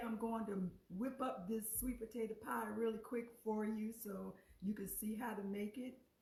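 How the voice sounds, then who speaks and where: A woman's fairly high, somewhat breathy voice with a dark, mellow tone, ordinary pitch variation and a fairly slow pace. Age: 60s. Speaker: cooking show host. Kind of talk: live cooking stream. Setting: live on Facebook. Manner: casual, halting.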